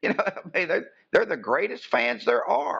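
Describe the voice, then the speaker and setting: A man in an Appalachian accent at a fairly quick pace. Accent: Appalachian US Southern. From West Virginia, outside Bluefield. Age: 60s. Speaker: wrestling ring announcer. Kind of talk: casual interview chat.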